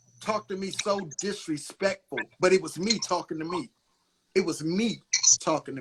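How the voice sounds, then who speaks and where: Raising and projecting his voice, a man speaks at a high pitch in a bright, sharp tone. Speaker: channel host. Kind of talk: casual chat. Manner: loud; aggressive.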